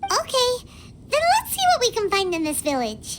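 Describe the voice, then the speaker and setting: A squeaky, put-on character voice sits at an extremely high pitch. It moves at a moderate pace over loud background noise. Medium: video game. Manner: casual, upbeat.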